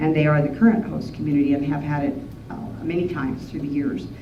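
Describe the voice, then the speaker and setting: A woman's very deep, low voice with a Western US accent and ordinary pitch variation, amid noticeable background noise. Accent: Western American. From Wyoming. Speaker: rancher, horse trainer, cowboy poet, rodeo historian. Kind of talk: museum talk to an audience.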